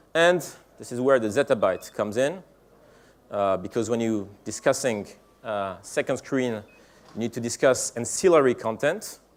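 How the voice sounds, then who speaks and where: A man with a French accent and lively intonation, with long, frequent pauses. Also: medium pitch for a man, moderate pace. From France. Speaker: tech company executive giving keynote. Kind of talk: conference keynote speech. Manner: halting, many fillers.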